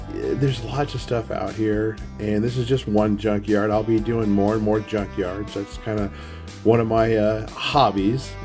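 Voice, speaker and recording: Music plays in the background as a man with an American accent talks fairly slowly at a fairly low pitch with ordinary pitch variation. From Arizona. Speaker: junkyard relic hunter. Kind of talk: casual talk to camera. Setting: outdoors.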